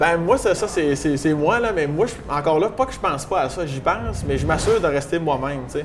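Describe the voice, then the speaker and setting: In a Quebec accent, the speaker moves at a fairly quick pace with lively intonation while background noise is noticeable. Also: man, fairly high pitch for a man. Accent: regional Quebec French. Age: young. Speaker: stand-up comedian. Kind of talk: interview answer. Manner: casual, humorous.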